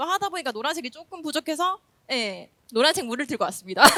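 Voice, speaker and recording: A woman uses a raised, projected voice with a bright, sharp tone and very wide pitch swings. The sound is dry and close, with no echo. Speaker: elementary school teacher. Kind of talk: conference presentation. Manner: fast when nervous; humorous, lively.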